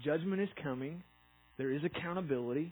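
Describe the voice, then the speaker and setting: A man with a fairly high voice and a somewhat breathy sound. His pitch varies in an ordinary way. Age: 30s. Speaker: pastor. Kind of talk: sermon.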